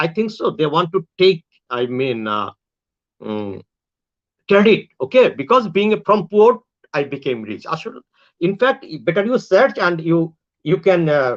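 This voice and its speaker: A high-pitched man talks at a moderate pace with very wide pitch swings and long, frequent pauses, sounding dry and close with no echo. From Bangladesh. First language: Bengali. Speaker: online talk show host. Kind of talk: casual monologue to viewers. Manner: halting, with many fillers and restarts.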